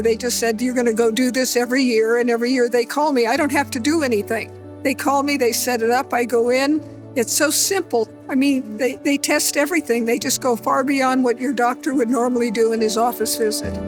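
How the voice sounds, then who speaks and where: With music in the background, a woman talks at a fairly quick pace and a high pitch, her loudness very even. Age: 80s+. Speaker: healthcare patient. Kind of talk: testimonial interview answer.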